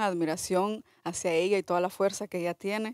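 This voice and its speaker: A woman speaks at a moderate pace and medium pitch in a flat monotone, with a dry, echo-free sound and a quiet background. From El Salvador. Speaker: documentary filmmaker; film director on panel. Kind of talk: panel discussion. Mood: earnest, engaged. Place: hall. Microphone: podium.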